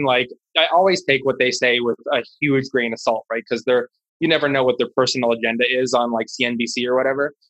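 A man with an American accent speaks at a fairly quick pace and medium pitch, using fairly even intonation. His tone is bright and sharp, and the sound is dry and close with no echo. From Washington D.C. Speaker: stock trader. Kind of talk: casual chat.

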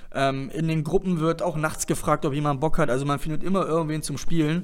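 Speaking fairly quickly, a man uses a fairly high pitch with ordinary variation. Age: 20s. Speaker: darts club podcast host. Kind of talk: casual interview podcast. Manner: hesitant, many fillers.

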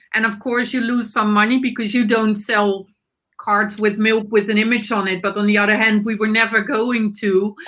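A woman with a Dutch accent speaks at a moderate pace in a fairly high pitch. Her tone is bright and sharp, her intonation monotone and flat. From Netherlands. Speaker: nonprofit board member. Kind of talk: panel discussion. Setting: video call.

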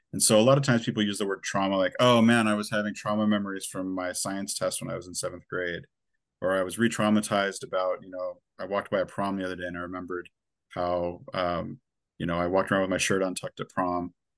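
Over a quiet background, the voice moves at a very fast pace with fairly even intonation. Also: man, fairly low pitch for a man. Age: 40s. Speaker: clinical psychologist. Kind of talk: interview. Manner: frequent filler words.

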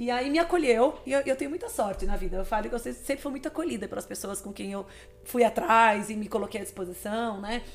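A woman speaks at a fairly quick pace. Hers is an ordinary speaking voice. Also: fairly high pitch for a woman, lively intonation. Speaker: nutritionist and athlete. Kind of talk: interview conversation.

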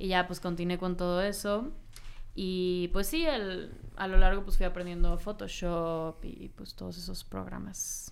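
A woman talks fairly slowly at a medium pitch, with fairly even intonation. Her loudness swings a lot, and the room echo is audible. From Mexico, Cancún. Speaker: singer and audiovisual artist. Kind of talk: interview.

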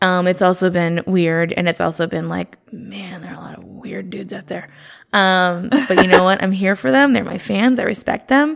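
With lively intonation and big swings in loudness, a woman at a medium pitch speaks at a moderate pace on a very clean recording with a silent background. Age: 30s. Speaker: stand-up comedian. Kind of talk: casual chat.

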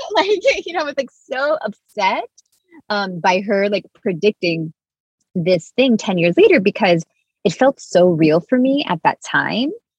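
A woman's voice, dry and close with no echo, very wide pitch swings, and a fairly slow pace. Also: medium pitch for a woman. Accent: American. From Miami, Cuban American family. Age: 30s. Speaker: spiritual mentor and author. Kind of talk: casual interview chat.

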